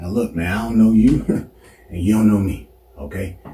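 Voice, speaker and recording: A man speaks at a fairly low pitch, with audible room echo around him. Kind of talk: comedic acted monologue. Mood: nervous, placating, joking. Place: home room. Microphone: camera far.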